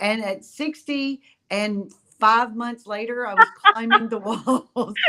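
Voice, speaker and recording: The woman's fairly high pitch carries a bright, sharp tone with ordinary pitch variation. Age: 60s. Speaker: cruise line executive. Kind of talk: interview. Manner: animated.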